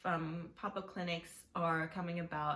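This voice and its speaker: A woman speaks with a fairly low pitch and fairly even intonation. Her voice is somewhat breathy. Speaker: nurse. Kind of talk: emotional talk to camera.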